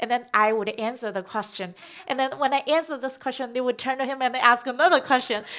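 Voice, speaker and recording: A woman talks very fast in a Chinese accent, her high-pitched voice bright and sharp in tone, with ordinary pitch variation. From China. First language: Mandarin Chinese. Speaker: documentary filmmaker. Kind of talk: onstage conversation. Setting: festival stage.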